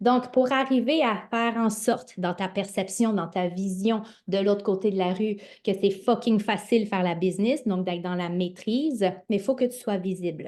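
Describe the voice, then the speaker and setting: A woman's medium-pitched voice with a Quebec accent, ordinary pitch variation, a moderate pace and a quiet background. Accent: Québécois French. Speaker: network marketing coach. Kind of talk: motivational livestream talk. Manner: animated.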